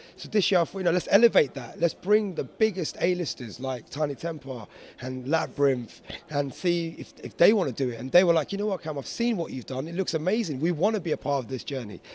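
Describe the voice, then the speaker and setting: A man with a London accent talks very fast at a fairly high pitch. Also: lively intonation. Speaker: DJ and producer. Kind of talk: interview.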